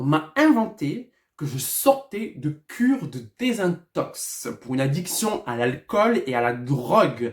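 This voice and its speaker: A man speaks in a high voice, his pitch swinging very widely. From southwest France, Lourdes. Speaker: hairdresser and former reality TV contestant. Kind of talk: storytime vlog monologue. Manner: loud; excitable, animated.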